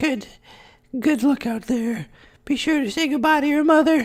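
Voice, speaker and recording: The speaker uses a put-on character voice at a high pitch. The recording is very clean, with a silent background. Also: moderate pace. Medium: game stream. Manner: gruff, awkwardly sentimental.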